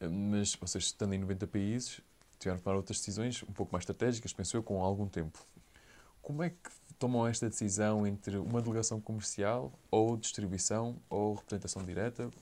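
Delivery is fairly quick, with ordinary pitch variation. A dark, mellow tone colors the voice. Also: man, fairly low pitch for a man. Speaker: podcast host. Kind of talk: interview.

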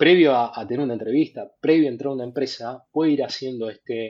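A man is talking. He speaks at a medium pitch. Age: 40s. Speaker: fintech product executive. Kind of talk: casual interview. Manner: halting, many repetitions.

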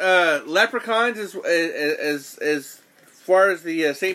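Projecting his raised voice, a man speaks at a high pitch in a bright, sharp tone with ordinary pitch variation. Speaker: podcast host. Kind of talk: casual chat. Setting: studio. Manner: loud.

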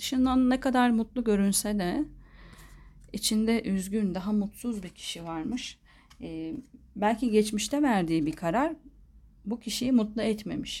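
A woman speaks at a fairly slow pace with a fairly high pitch and lively intonation, her voice somewhat breathy. The recording is very clean, with a silent background. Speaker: tarot reader. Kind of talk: tarot reading monologue.

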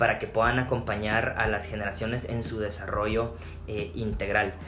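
A man speaks at a medium pitch and a moderate pace. Room echo is audible, and background noise is noticeable. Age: 30s. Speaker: pastor. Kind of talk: casual interview chat. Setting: at his home. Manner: hesitant, many fillers and repetitions.

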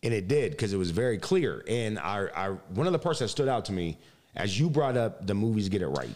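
In an animated tone, a man with an American accent talks fairly quickly with very wide pitch swings, in a very clean recording with a silent background. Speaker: podcast host. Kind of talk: interview.

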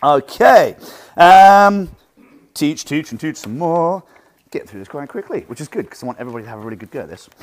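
Speaking with an English accent, a man with a fairly high voice moves at a fairly quick pace in an energetic tone. His pitch swings very widely and his loudness swings a lot, on a very clean recording with a silent background. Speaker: martial arts instructor. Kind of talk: seminar talk. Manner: projected from the diaphragm.

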